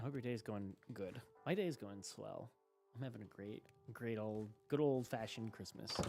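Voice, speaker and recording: Music plays in the background. A man talks at a moderate pace with a medium pitch and ordinary pitch variation. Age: 20s. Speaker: streamer. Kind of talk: casual chat. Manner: halting; animated.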